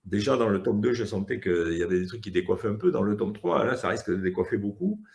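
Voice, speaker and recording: Talking at a very fast pace, a man has a fairly low, somewhat breathy voice with ordinary pitch variation. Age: 60s. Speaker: comic book author. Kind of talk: casual interview. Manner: hesitant, many fillers.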